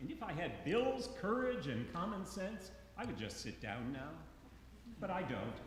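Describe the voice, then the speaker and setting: Amid noticeable background noise and audible room echo, a man speaks in a high pitch with very wide pitch swings. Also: moderate pace. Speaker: eulogist, friend of the deceased. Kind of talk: eulogy. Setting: church memorial service. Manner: loud.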